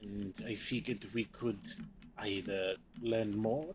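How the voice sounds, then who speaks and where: A man puts on a character voice and speaks at a very slow pace. Background noise is clearly audible. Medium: actual play. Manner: formal, courteous.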